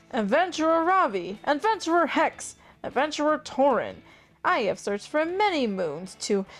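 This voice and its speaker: With music in the background, a woman does a put-on character voice at a high pitch, with very wide pitch swings at a moderate pace. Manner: stressed, urgent.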